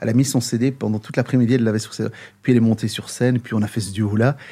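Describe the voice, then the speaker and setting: A man's medium-pitched, dark, mellow voice at a very fast pace with fairly even intonation, on a very clean recording with a silent background. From Brussels, Belgium (Moroccan parents). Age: 50s. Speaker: singer and musician. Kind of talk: interview.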